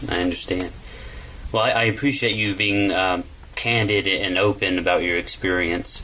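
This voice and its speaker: A man with an American accent speaks at a moderate pace with a fairly low pitch. His intonation is fairly even, his loudness very even, and there is noticeable background noise. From Texas. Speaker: interviewer. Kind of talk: interview. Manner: halting.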